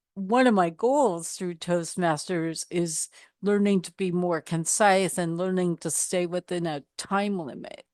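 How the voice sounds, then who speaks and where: A woman's fairly low voice at a fairly slow pace, with ordinary pitch variation and hardly any pauses, in a dry, close sound with no echo over a quiet background. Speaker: podcast host. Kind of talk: podcast interview.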